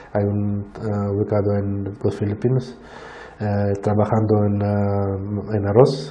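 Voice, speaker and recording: The man's voice is fairly low and flat, a monotone delivered at a very slow pace. Noticeable background noise and audible room echo accompany it. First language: not Spanish (speaking Spanish). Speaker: plant disease scientist. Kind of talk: Q&A after a lecture. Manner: halting, many fillers and restarts.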